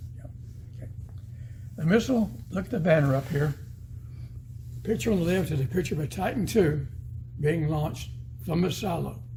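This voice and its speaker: In an American accent, a man with a fairly high pitch and a dark, mellow tone talks at a fairly quick pace with lively intonation, vocal fry, and long, frequent pauses. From northeast Arkansas. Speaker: retired missile specialist, museum docent. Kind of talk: museum guided talk. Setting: museum exhibit. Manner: animated.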